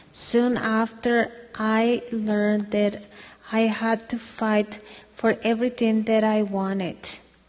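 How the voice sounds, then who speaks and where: A woman with a Spanish accent speaks very slowly in a fairly high pitch with monotone, flat intonation over noticeable background noise. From Mexico, near Guadalajara. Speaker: domestic violence survivor. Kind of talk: testimony.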